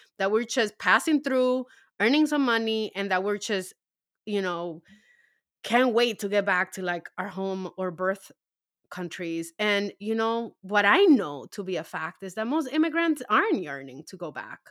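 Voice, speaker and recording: A woman's medium-pitched voice with very wide pitch swings at a fairly slow pace, in a very clean recording with a silent background. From Harlem, New York (born in Dominican Republic). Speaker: novelist. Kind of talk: casual interview.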